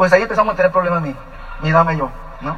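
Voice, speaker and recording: Over noticeable background noise, a man talks very fast in a raised, projected voice. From Mexico, Ensenada, Baja California. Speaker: business couple giving testimony. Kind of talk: testimony.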